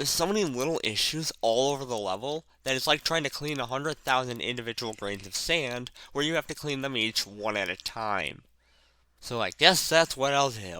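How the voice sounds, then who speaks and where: On a very clean recording with a silent background, a man speaks in a bright, sharp tone with lively intonation. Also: medium pitch for a man, moderate pace. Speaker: gaming commentator. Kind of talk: video essay commentary. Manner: odd emphasis on words.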